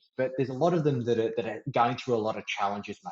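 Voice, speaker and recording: Lively intonation marks this man's medium-pitched voice with an Australian accent. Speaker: podcast host, financial mentor. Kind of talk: podcast interview.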